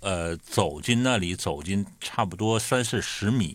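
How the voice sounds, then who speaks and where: In a very clean recording with a silent background, a man with a fairly low pitch uses a normal speaking voice with ordinary pitch variation. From Northeast China. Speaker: podcast host. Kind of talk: casual chat.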